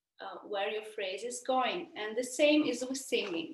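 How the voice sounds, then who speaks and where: High-pitched, lively intonation from a woman in an Italian accent, delivered at a fairly slow pace. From Italy. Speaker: opera singer. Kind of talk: Q&A answers for school students. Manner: halting, many fillers.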